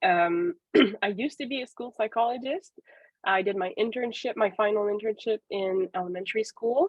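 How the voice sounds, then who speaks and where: A woman speaks with a Quebec accent. Her pitch varies in an ordinary way. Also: moderate pace. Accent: Québécois French accent in English. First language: French. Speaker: professor and psychologist. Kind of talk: webinar presentation. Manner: hesitant, many fillers.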